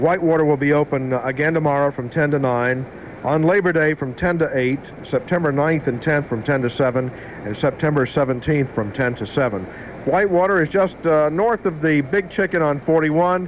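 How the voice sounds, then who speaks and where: Amid noticeable background noise, a man talks at a fairly quick pace, fairly high-pitched, with ordinary pitch variation. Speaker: radio DJ. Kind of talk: radio DJ banter between songs. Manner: casual, chatty.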